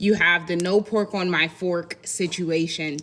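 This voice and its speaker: A woman with an American accent speaks at a fairly slow pace and medium pitch against noticeable background noise. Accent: country-sounding. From Indiana, US Midwest with Southern family roots. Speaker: content creator. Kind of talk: casual commentary video.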